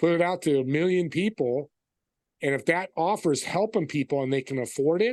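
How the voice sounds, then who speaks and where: With an ordinary speaking voice, a man speaks fairly quickly at a fairly high pitch, showing ordinary pitch variation against a quiet background. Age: 60s. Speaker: entrepreneur. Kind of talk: interview.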